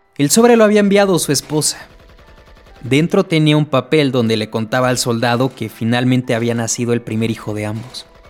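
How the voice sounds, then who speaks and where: Lively intonation from a man, with noticeable background noise behind. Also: medium pitch for a man, fairly quick pace. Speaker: creepypasta storyteller. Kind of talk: horror story narration, bedtime ghost-story style, scripted reading.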